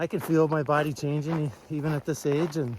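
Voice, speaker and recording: Relaxed in tone, a man talks at a moderate pace with a fairly high pitch. Noticeable background noise sits behind him. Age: 60s. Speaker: hiker vlogger. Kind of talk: casual vlog talk to camera. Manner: relaxed, with many fillers.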